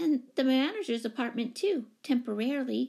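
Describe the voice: Putting on a character voice, a woman speaks high in pitch with a dark, mellow tone, vocal fry, lively intonation and a moderate pace.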